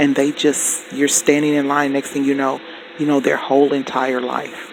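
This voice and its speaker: The man's fairly high voice comes through with noticeable background noise behind it. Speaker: spiritual teacher. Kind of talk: teaching monologue.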